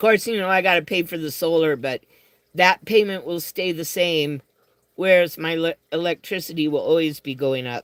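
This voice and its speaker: A man with an American accent speaks at a moderate pace in a high pitch with ordinary pitch variation, his dry, close sound with no echo captured in a very clean recording over a silent background. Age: 60s. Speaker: livestreamer. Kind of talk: casual chat. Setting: live stream answering chat.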